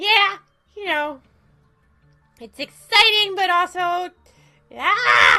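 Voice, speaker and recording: Putting on a character voice at an extremely high pitch, a woman speaks at a very slow pace with long, frequent pauses while faint music plays in the background. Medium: game stream. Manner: playful, cheeky, attention-seeking.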